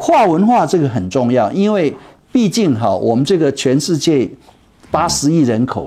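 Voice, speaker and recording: A man speaks at a fairly slow pace, his pitch swinging very widely. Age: 70s. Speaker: retired tech executive and startup mentor. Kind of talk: interview.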